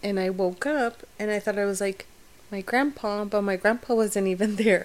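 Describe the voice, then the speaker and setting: Keeping her intonation fairly even, a woman with an unremarkable speaking voice talks at a moderate pace in a medium pitch. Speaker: podcast co-host. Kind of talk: casual chat.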